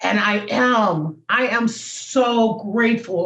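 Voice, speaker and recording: Somewhat breathy, a woman's fairly high voice moves with lively intonation. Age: 70s. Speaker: comedian and motivational speaker. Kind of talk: interview.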